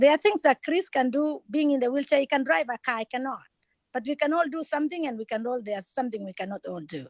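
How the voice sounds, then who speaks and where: Speaking very fast in a non-native accent, a woman uses a high pitch, lively intonation, and big swings in loudness, with a dry, close sound with no echo on a very clean recording with a silent background. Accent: foreign. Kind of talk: town hall interview. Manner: halting, many fillers.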